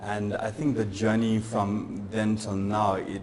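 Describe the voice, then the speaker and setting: A man with a fairly low voice speaks in a flat monotone, with audible room echo and noticeable background noise. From South Africa. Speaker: tech startup founder. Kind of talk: live interview on stage. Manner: fast.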